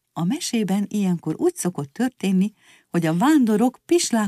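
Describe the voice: Lively intonation in plain reading aloud, quiet surroundings behind it.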